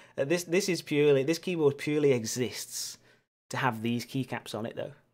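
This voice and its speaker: The speech moves at a moderate pace with ordinary pitch variation. The recording is very clean, with a silent background. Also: man. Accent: Lancashire. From northern England, Lancashire near Manchester. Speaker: keyboard builder streamer, teacher. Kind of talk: livestream casual chat. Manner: casual, hesitant with fillers.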